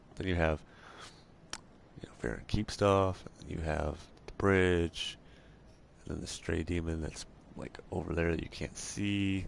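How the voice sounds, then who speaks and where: Soft-spoken, a man with a very deep, low pitch talks at a moderate pace. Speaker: video game let's play host. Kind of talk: gameplay commentary. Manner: halting.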